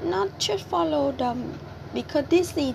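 Over noticeable background noise, a woman with a Vietnamese accent talks at a fairly slow pace in a high voice. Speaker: podcaster and cafe worker. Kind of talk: personal monologue. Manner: halting, many fillers.

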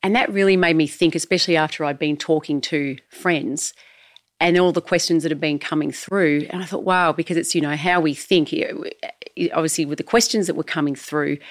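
Her fairly low pitch and fairly even intonation mark a woman with an ordinary speaking voice. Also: fairly quick pace. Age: 50s. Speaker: host's wife, community voice. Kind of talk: casual chat.

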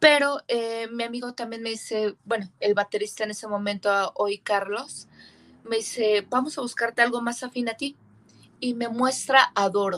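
Her fairly high pitch comes with ordinary pitch variation as the woman speaks. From rural Mexico. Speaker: metal band singer. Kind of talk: casual chat.

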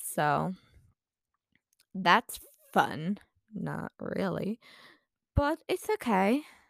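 Putting on a raspy character voice at medium pitch, a woman speaks at a very slow pace with long, frequent pauses.

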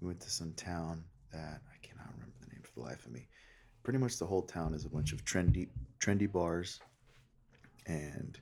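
A whisper, quiet overall, with big swings in loudness and vocal fry. The pace is fairly quick, broken by long, frequent pauses. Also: man. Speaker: podcast co-host. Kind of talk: casual chat. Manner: quiet, almost whispering.

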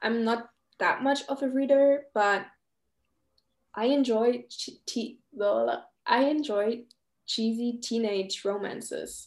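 A woman with a fairly high pitch and ordinary pitch variation speaks at a very slow pace. Long pauses come often. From Germany. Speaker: podcast host. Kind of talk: casual chat.

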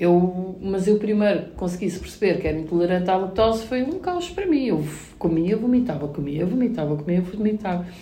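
A woman at a medium pitch talks fairly quickly with ordinary pitch variation amid noticeable background noise and audible room echo. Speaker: mother and content creator. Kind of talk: casual chat.

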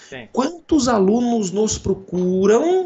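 A man's voice, high in pitch. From Brazil, interior of São Paulo state (Jaú). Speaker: computer science professor. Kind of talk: casual interview.

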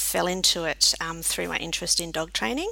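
Over noticeable background noise, the speaker talks at a fairly quick clip in an Australian accent. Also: woman. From South Australia, Adelaide. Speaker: vet nurse and college academic director. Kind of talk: casual interview. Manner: hesitant, many fillers.

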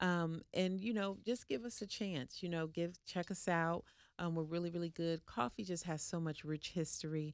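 A woman with a fairly low pitch speaks at a moderate pace in a plain, everyday voice. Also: ordinary pitch variation. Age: 40s. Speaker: spa owner. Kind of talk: interview.

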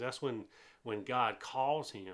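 A man with a Southern US accent, at a moderate pace, with ordinary pitch variation. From US South, eastern North Carolina. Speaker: pastor. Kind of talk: informal sermon recap monologue. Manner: casual with frequent filler hesitations.

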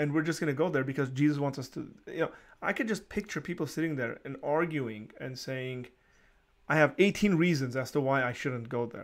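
At a fairly quick pace, a man uses an ordinary speaking voice with ordinary pitch variation on a very clean recording with a silent background. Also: fairly high pitch for a man. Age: 30s. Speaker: podcast host. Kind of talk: friendly interview.

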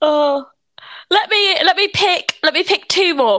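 A woman's raised, projected voice with a British accent, bright and sharp, fairly slow, with very wide pitch swings on a very clean recording with a silent background. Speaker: podcast host, student. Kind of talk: casual chat.

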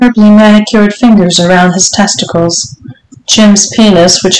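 The intonation remains fairly even. The voice is an unforced reading voice.

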